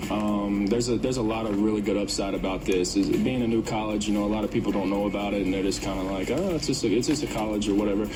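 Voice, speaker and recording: A man's very fast speech in a Kentucky accent, fairly low in pitch and fairly even in intonation, with hardly any pauses, audible room echo and noticeable background noise. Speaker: college basketball coach. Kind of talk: radio interview. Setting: radio studio.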